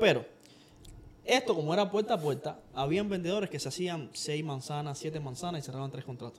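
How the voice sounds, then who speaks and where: A man with lively intonation talks at a fairly quick pace and a fairly high pitch. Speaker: podcast co-host, salesman. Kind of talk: casual chat.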